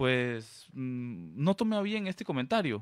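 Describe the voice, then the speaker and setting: The pitch swings very widely. The sound is dry and close with no echo, on a very clean recording with a silent background. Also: man. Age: 30s. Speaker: political candidate. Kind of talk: radio interview.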